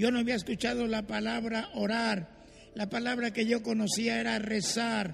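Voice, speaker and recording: A moderate pace and flat, monotone intonation. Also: man, high pitch for a man. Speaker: pastor. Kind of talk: testimony.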